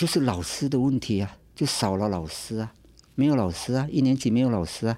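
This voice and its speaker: A man talks with lively intonation in a dark, mellow tone. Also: medium pitch for a man, fairly quick pace. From Taiwan, central mountains, Atayal village. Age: 60s. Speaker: church elder and rural medical driver. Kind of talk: life story interview. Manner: halting, many fillers and repetitions.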